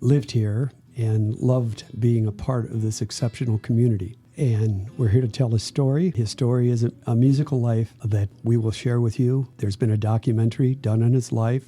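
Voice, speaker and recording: A man's dark, mellow voice at medium pitch with an American accent, somewhat breathy, at a moderate pace with hardly any pauses, fairly even intonation and very even loudness. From Ohio, US Midwest. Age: 80s+. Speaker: musician, brother of the late guitarist. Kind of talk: interview. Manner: halting, with fillers.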